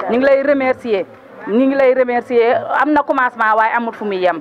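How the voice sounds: A woman with a fairly high pitch speaks at a fairly quick pace with ordinary pitch variation over faint background noise.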